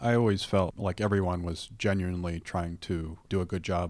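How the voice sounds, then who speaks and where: A man's very deep, low voice in monotone, flat intonation, on a very clean recording with a silent background. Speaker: podcast host. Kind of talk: interview.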